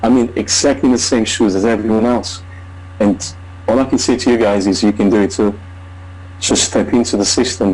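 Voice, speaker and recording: A man speaks with a fairly low pitch, fairly even intonation and very even loudness, leaving long, frequent pauses over noticeable background noise. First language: not English. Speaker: online marketer. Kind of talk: testimony. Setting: video call. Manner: halting.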